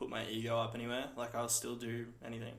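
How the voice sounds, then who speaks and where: The room echo is audible throughout. A man's voice sits at a medium pitch within it. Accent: Australian. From Australia (Ballarat, Victoria). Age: 20s. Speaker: small business owner. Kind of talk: casual interview chat.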